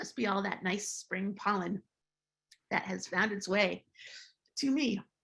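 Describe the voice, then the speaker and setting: A woman's medium-pitched voice with vocal fry, on a very clean recording against a silent background. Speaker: psychedelic therapy lecturer. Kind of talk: lecture.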